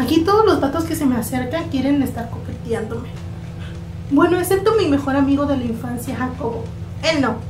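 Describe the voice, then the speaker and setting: Music sounds in the background as a woman speaks at a fairly quick pace. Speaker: actress in a skit. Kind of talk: acted dialogue as a new student.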